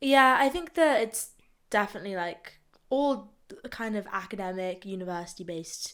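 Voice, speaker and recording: Using lively intonation, a woman with an English accent speaks at a moderate pace and a medium pitch. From England. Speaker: student journalist. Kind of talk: casual chat.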